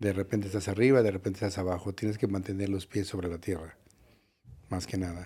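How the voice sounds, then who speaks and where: A man's somewhat breathy, dark, mellow voice, fairly low in pitch, at a very fast pace on a very clean recording with a silent background. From Mexico City. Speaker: nightclub owner. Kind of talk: interview. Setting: studio.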